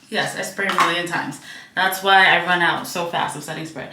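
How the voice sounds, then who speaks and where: Over noticeable background noise and audible room echo, a woman talks at a fairly quick pace in a medium pitch. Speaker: flight attendant vlogger. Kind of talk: casual vlog talk. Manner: chatty, filler-heavy.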